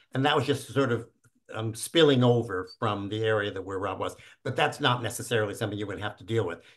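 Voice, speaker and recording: Speaking at a very fast pace, a man sounds somewhat breathy. His pitch is medium, with ordinary variation. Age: 70s. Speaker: founder of a virtual reality community. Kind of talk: casual chat. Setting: video call.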